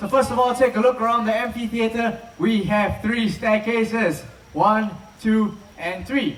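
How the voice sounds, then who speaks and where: With a Chinese accent and a high pitch, a man speaks at a very slow pace amid audible room echo and noticeable background noise. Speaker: live show presenter at a wildlife park. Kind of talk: live show presentation to an audience. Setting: outdoor amphitheater with audience. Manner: animated, energetic.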